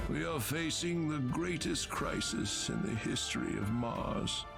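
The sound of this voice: A put-on character voice from a man, fairly high in pitch and fairly slow, over loud background music.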